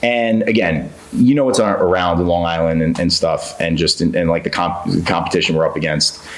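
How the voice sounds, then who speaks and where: A man talks at a fairly quick pace in an American accent. Noticeable background noise and audible room echo come through. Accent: New York, toned down. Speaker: real estate guest, engineer. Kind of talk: podcast interview. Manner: casual, filler-heavy.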